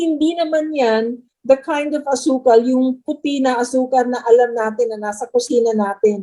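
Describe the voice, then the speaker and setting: Here a woman speaks at a high pitch and a moderate pace, with ordinary pitch variation. Her tone is dark and mellow. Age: 60s. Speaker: supplement distributor. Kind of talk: interview Q&A.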